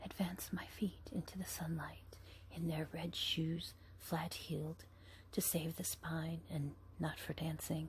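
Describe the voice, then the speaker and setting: Someone is whispering at a fairly slow pace. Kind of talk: ASMR book reading. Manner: whispered.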